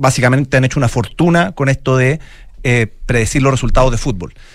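A man's normal speaking voice at a fairly quick pace with ordinary pitch variation. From Chile, Santiago. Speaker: football analytics entrepreneur. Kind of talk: interview.

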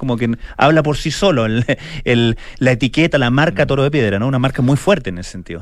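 With a Chilean accent, a man talks at a very fast pace and a medium pitch, using lively intonation over noticeable background noise. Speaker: radio host. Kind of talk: casual chat. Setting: studio.

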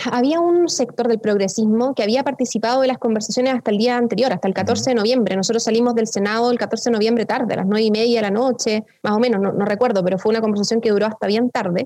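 Over noticeable background noise, a woman with a fairly high pitch speaks very fast, with hardly any pauses and very even loudness. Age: 20s. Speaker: politician. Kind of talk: interview.

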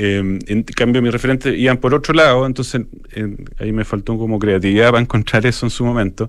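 Very fast speech from a man, medium in pitch, the intonation fairly even. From Chile, Santiago. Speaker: architecture photographer. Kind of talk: radio interview. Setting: radio studio. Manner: halting.

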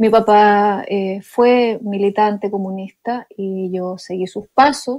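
A woman with a Chilean accent, medium in pitch, very slow with hardly any pauses, fairly even intonation, big swings in loudness, and a quiet background. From Chile, Chiloé island. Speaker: jazz pianist and composer. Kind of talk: interview.

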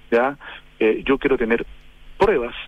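Talking very fast, a man speaks at a medium pitch with lively intonation. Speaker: politician. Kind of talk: radio interview. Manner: halting.

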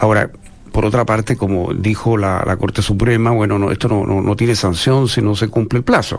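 Over noticeable background noise, a man talks fairly quickly in a fairly low voice. His intonation is monotone and flat, and his loudness stays very even. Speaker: political analyst panelist. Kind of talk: political discussion.

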